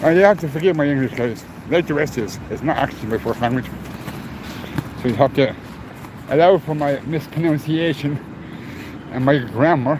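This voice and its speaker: A man's fairly high voice at a fairly quick pace, with ordinary pitch variation, long and frequent pauses, and noticeable background noise. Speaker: livestreamer. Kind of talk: live walking stream. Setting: outdoors, walking in city streets.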